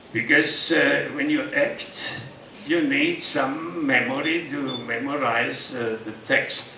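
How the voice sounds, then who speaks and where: A man speaks at a very slow pace in a room with audible echo and light background noise. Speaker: yoga teacher. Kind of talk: speech to an audience with Q&A. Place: stage.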